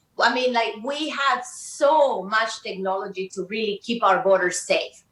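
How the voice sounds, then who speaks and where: A fairly slow-paced woman's voice with a Spanish accent. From Colombia. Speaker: community organizer. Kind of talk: heated debate. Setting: studio.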